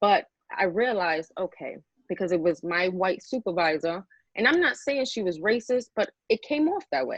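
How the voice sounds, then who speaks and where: A woman with a New York accent, medium pitch and lively intonation. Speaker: model and panelist. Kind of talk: casual panel discussion.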